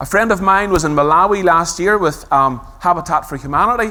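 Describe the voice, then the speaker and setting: Speaking with a Belfast accent, this voice has lively intonation, a fairly quick pace and a bright, sharp tone. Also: man. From Northern Ireland, Belfast. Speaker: conference speaker on user experience design. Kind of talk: conference talk.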